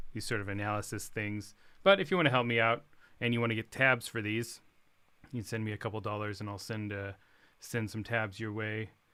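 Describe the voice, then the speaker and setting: In a quiet, bright and sharp voice pitched fairly low, a man talks at a fairly quick pace with fairly even intonation on a very clean recording with a silent background. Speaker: guitarist and music teacher. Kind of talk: livestream guitar tutorial. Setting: home livestream.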